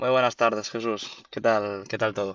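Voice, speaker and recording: A man with a Galician accent speaks at a moderate pace in a fairly low, monotone, flat voice. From Galicia, Spain. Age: 20s. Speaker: university student, sneaker reseller and investor. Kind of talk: interview. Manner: hesitant, many fillers and repetitions.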